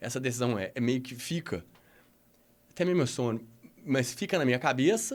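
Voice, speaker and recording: The intonation is lively. The pace stays moderate. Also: man. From Minas Gerais, Brazil. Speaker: adventure tourism executive. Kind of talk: podcast interview. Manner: halting, many false starts.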